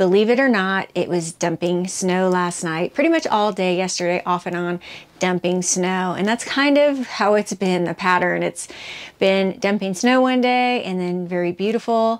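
With ordinary pitch variation, the woman keeps a moderate pace. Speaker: vlogger. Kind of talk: casual vlog chat. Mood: cheerful, upbeat. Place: home room. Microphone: phone near.

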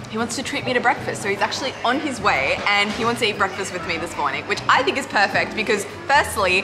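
Clear music sounds behind the speaker. She is a woman talking very fast. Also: hardly any pauses. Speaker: travel food vlogger. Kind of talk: casual vlog chat. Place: cafe. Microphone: phone near.

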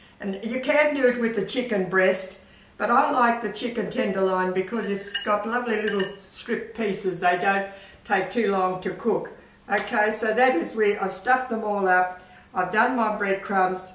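There is audible room echo as a woman speaks. Her pace is moderate and her intonation fairly even. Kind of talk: tutorial. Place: kitchen.

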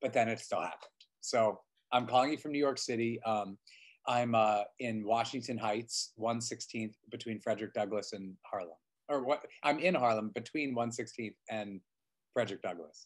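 The speech moves at a moderate pace with ordinary pitch variation against a quiet background. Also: man. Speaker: interview guest, stage actor. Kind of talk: interview answer. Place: home room. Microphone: video call.

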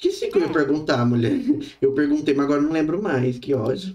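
A man's fairly high-pitched voice with a dark, mellow tone, moderate pace and ordinary pitch variation, over a quiet background. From Brazil. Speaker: gaming streamer. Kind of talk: live gaming stream. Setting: online stream with voice chat. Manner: animated. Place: home room. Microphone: studio mic.

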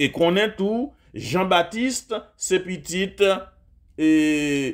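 The recording is very clean, with a silent background. A man speaks in a high pitch with ordinary pitch variation. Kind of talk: sermon.

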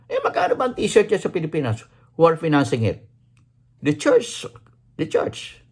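Fairly slow delivery with lively intonation. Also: man. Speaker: vlogger. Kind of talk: angry rant. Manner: indignant, sarcastic, repeats words for emphasis; rhetorical questions with exclamatory 'Ha? Huh?'.

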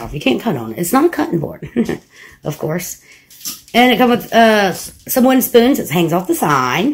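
A moderate pace, very wide pitch swings, and vocal fry. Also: woman. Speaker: home vlogger. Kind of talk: casual vlog chat. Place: home room. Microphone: phone near.

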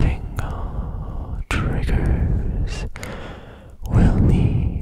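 A man whispers. The sound is dry with no echo, and loud background noise is present. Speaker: ASMR creator. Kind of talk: soft-spoken ASMR talk. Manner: intimate ear-to-ear whisper. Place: home room. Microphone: studio mic.

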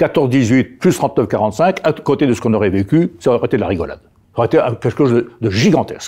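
This voice has a dark, mellow tone, lively intonation and a fairly quick pace. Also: man, quiet background. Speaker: retired army general; interview guest. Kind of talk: interview. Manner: halting, frequent repetitions. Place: studio. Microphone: lapel.

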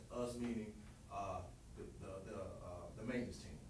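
Talking at a fairly quick pace with ordinary pitch variation, a man is heard over noticeable background noise and audible room echo. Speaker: presenter. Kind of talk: presentation to a board. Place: meeting room. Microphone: camera far.

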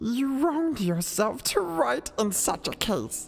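Someone uses a put-on character voice at a fairly high pitch, with faint music in the background. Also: fairly slow pace. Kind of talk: competition audition performing a dramatic scene.

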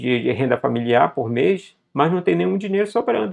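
A man speaks with very wide pitch swings. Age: 40s. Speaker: investment educator, company co-founder. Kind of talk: video tutorial on investing. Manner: casual, many fillers.

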